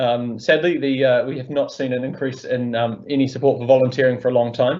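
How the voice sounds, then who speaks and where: Monotone and flat, a man speaks at a medium pitch. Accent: New Zealand. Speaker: volunteer organisation founder. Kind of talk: webinar interview. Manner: halting.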